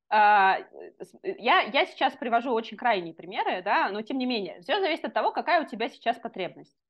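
A woman's high voice with very wide pitch swings. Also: moderate pace. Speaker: neuroscientist. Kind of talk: casual interview.

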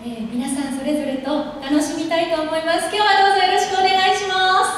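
A woman's extremely high voice at a fairly quick pace, with ordinary pitch variation, strong room echo, and light background noise. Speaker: voice actor. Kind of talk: casual talk to a school audience. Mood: warm, a bit nervous. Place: hall.

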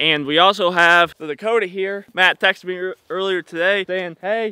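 The sound is dry, with no echo. Intonation stays fairly even. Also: man, quiet background. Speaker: vlogger. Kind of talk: casual vlog chat. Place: garden. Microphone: phone near.

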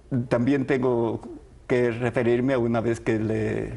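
A man's medium-pitched voice, dark and mellow, with vocal fry and little pitch movement

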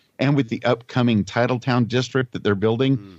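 A man talks with an American accent at a fairly quick pace. His is an unremarkable speaking voice at medium pitch. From Southern California. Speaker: voice actor, podcast co-host. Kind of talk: casual chat. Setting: phone call.

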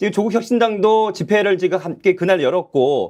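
With ordinary pitch variation, a man's voice sits high in pitch. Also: quiet background. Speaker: news show host. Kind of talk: political news commentary.

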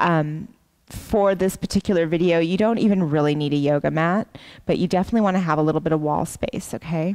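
A woman talks at a very fast pace in a fairly low pitch. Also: ordinary pitch variation, very even loudness, quiet background. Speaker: yoga teacher. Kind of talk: casual talk to camera. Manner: calm. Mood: calm, relaxed, friendly. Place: gym. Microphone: headset.

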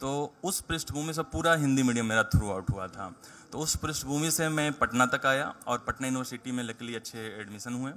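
One man talks at a moderate pace with ordinary pitch variation. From Bihar, India (Jehanabad district, rural); Bihar, India. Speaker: civil services exam topper; guest. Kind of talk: interview. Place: hall. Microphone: handheld.

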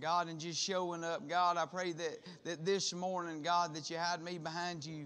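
A man's voice, high in pitch. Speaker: preacher. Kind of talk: prayer and sermon. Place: church. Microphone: podium.

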